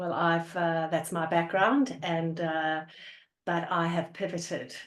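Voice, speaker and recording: The speaker has an Australian accent and fairly even intonation. The pace is very slow. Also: woman, fairly low pitch for a woman. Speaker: organizational psychologist. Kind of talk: interview. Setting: video call.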